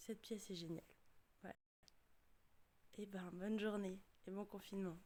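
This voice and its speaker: A woman's dark, mellow tone at medium pitch, moderate pace and monotone, flat intonation. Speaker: theatre director. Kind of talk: casual talk to camera.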